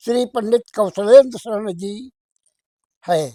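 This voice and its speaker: With a dry, close sound and no echo, a man speaks in a high voice with ordinary pitch variation. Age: 80s+. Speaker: elderly grandfather giving spiritual talk. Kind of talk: religious discourse.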